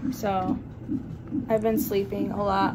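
Loud noise is present behind the speaker. She is a woman. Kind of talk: casual vlog chat. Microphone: phone near.

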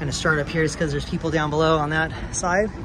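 A man speaks over clear crowd noise in the background and clear background noise.

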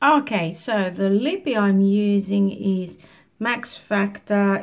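A woman talks with a somewhat breathy voice. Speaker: beauty vlogger. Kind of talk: casual makeup tutorial chat. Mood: relaxed, cheerful. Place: home room. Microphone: phone near.

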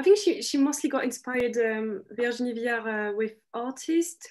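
A woman with a French accent and a high pitch, at a moderate pace against a quiet background. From France. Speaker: fashion graduate, panellist; panellist. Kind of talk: panel discussion. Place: home room. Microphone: video call.

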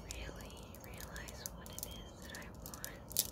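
A woman whispers her words at a very slow pace. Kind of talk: casual vlog chat. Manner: soft, hushed ASMR murmur. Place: home room. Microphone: phone near.

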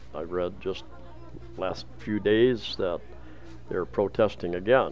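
Over light background noise, a man with a very deep, low voice speaks at a fairly slow pace. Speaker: travel vlogger. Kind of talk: casual walking vlog commentary. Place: market. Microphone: phone near.

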